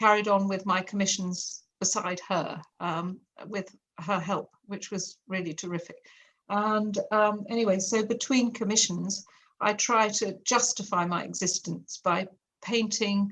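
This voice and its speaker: A woman with an English accent speaks at a fairly slow pace, her medium pitch carried by fairly even intonation. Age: 60s. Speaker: artist and art teacher. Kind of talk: interview.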